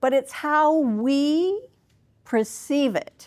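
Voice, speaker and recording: This woman's voice is loud, with lively intonation. The recording is very clean, with a silent background. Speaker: life coach, keynote speaker. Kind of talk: keynote speech. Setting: conference stage with audience.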